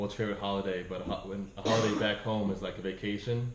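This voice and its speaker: A man's fairly low voice, monotone and flat, with a slight South African accent and audible room echo. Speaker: immigrant interviewee. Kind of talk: interview. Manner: casual, lots of fillers.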